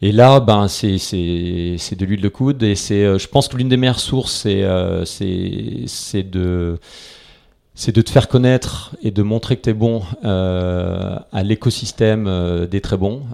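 A man's dark, mellow tone at a fairly low pitch, delivered at a very slow pace. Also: ordinary pitch variation. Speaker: venture capital investor. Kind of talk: interview. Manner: hesitant, many fillers and repetitions.

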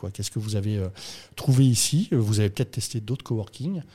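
On a very clean recording with a silent background, a man with a somewhat breathy, dark, mellow tone talks very fast at a fairly low pitch with ordinary pitch variation. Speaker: podcast host. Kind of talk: casual chat, interview. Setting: coworking space.

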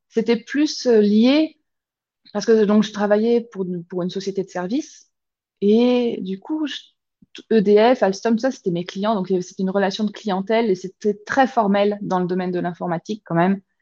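Her pitch sits at a medium level for a woman, with ordinary pitch variation, and she keeps a moderate pace. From France, grew up south of Paris and Lyon. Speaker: pastry business founder, former IT engineer. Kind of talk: interview. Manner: halting, with frequent repetitions.

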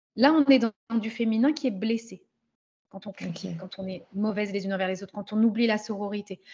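Speaking at a very fast pace, a woman uses a fairly high, somewhat breathy voice with big swings in loudness. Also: ordinary pitch variation. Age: 30s. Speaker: business coach for women. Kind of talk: casual chat.

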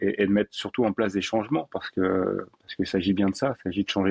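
An ordinary speaking voice at a fairly quick pace, fairly even in intonation, in a dry, close sound with no echo. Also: man. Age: 50s. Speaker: breathing coach. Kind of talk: interview conversation.

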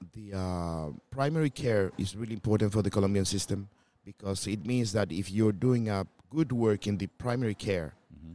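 A man's dark, mellow voice, fairly low in pitch with ordinary pitch variation, at a moderate pace with big swings in loudness. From Colombia. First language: Spanish. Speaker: gynecologist. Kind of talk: interview.

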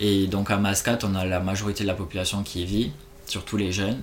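A man has a normal speaking voice, fairly low in pitch, at a moderate pace. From France, Toulouse. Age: 20s. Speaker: expatriate travel worker. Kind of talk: casual interview.

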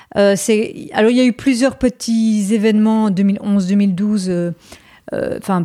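Woman's fairly high, dark, mellow voice at a very slow pace, fairly even intonation and very even loudness, in a very clean recording with a silent background. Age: 40s. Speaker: history teacher and conspiracy-theory specialist. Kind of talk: interview conversation.

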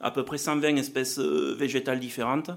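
With a southwestern French accent, a man talks at a moderate pace. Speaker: agricultural R&D manager. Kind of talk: conference presentation.

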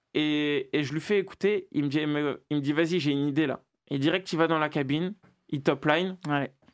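Recorded very cleanly against a silent background, a man with a fairly high pitch has an ordinary speaking voice. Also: fairly even intonation, fairly quick pace. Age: 20s. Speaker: rapper. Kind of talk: interview.

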